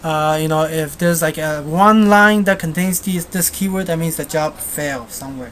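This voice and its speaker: Against noticeable background noise, a woman with a fairly low voice speaks at a moderate pace with ordinary pitch variation and hardly any pauses. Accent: Chinese. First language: Chinese. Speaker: software tutorial maker. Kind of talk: screencast tutorial. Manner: halting, many fillers; casual.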